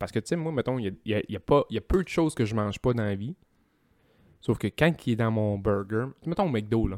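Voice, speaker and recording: A man with a Quebec accent at a fairly quick pace with lively intonation, on a very clean recording with a silent background and a dry, close sound with no echo. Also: medium pitch for a man. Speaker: podcast guest. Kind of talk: casual chat.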